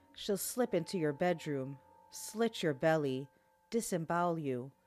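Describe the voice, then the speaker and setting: A fairly low-pitched woman at a fairly slow pace, lively in intonation and very even in loudness, with music in the background. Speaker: podcast host. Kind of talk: folklore horror podcast narration.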